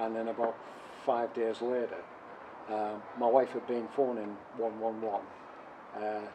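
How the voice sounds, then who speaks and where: A man in a Teesside accent, medium in pitch, with monotone, flat intonation. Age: 70s. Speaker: covid survivor. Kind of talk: personal testimony interview. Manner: hesitant, many fillers.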